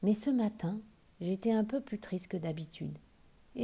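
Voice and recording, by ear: With pitch moving by ordinary amounts, the text is read aloud in a natural voice.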